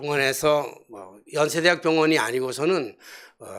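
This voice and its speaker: The man's voice shows ordinary pitch variation, and the recording is very clean with a silent background. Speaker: pastor. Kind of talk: sermon. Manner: colloquial storytelling with fillers.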